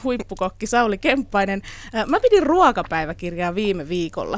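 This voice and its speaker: A woman speaks at a moderate pace with a fairly high pitch. It is a plain, everyday voice. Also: very clean recording, silent background. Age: 40s. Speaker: radio host. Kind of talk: casual chat.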